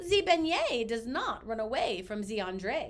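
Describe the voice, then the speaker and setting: Using a put-on character voice, a woman speaks at a fairly high pitch. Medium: read story.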